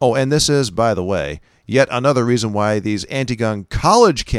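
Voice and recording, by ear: With ordinary pitch variation, the speaker is reading aloud in a natural voice.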